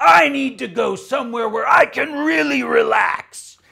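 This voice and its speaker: A man shouting in a put-on character voice at an extremely high pitch. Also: moderate pace. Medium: read story. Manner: belligerent, shouting.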